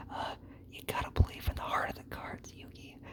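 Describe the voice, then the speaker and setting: A man whispers over noticeable background noise. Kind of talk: ASMR whispered talk while opening trading cards, rambling personal stories.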